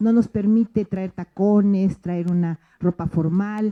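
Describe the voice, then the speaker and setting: A woman's dark, mellow voice at medium pitch, with fairly even intonation and a dry, close sound free of echo. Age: 60s. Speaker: teacher. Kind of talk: closing remarks at school event. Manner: hesitant, many fillers.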